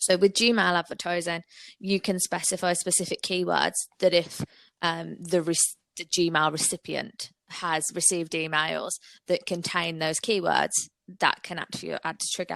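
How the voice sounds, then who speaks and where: Speaking with a Brummie accent, a woman with a fairly low voice talks at a moderate pace in a monotone, flat intonation, on a very clean recording with a silent background and dry, close sound with no echo. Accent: Brummie twang. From Birmingham, England. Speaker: digital marketing agency owner. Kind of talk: podcast interview.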